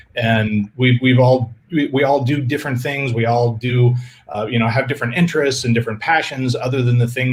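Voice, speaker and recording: This man's voice sits at a medium pitch, somewhat breathy, with fairly even intonation. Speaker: filmmaker. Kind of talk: Q&A interview. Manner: halting, stuttering.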